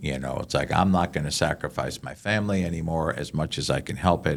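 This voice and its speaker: Man with a very deep, low pitch and vocal fry, fairly quick pace. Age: 60s. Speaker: chaplain and podcast host. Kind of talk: podcast interview, teaching points. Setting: podcast recording. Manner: animated.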